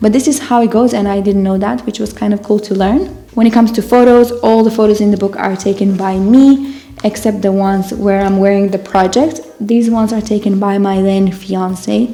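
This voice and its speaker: Amid noticeable background noise, a woman with a non-native accent speaks at a fairly quick pace, her medium pitch showing ordinary variation. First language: not English. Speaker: knitting designer and author. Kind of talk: casual talk to camera.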